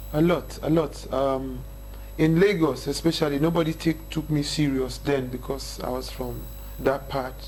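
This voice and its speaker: A man with a northern Nigerian accent speaks at a moderate pace. Room echo is audible. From northern Nigeria, Kaduna State. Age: 30s. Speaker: hip-hop artist. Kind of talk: interview chat.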